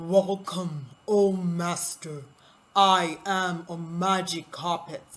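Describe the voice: A loud, booming, put-on character voice, female-sounding, fairly low in pitch for a woman, at a very slow pace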